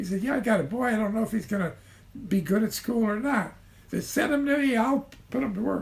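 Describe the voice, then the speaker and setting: A man with a Midwestern American accent speaks at a high pitch. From Ottawa, Illinois. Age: 80s+. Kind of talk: interview answer.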